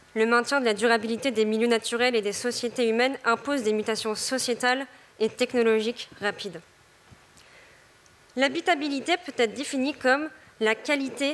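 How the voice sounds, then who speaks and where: A woman's fairly high voice at a moderate pace, fairly even in intonation, over noticeable background noise. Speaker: development council member presenting a project. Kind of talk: timed forum presentation. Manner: hesitant, many filler sounds.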